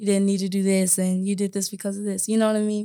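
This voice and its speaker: A woman with an American accent speaks very fast in a flat, monotone way. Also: very clean recording, silent background. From Omaha, Nebraska. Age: 20s. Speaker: podcast co-host, wellness entrepreneur. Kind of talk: casual chat. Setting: podcast recording.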